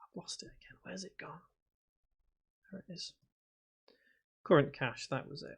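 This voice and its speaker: A man with a Liverpool accent mumbles at a moderate pace. His loudness swings widely, and he leaves long, frequent pauses. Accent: Scouse. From northern England, Liverpool (Prescot). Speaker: game development tutor. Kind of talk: live stream chat while coding. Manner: hesitant, many fillers; mumbles to himself.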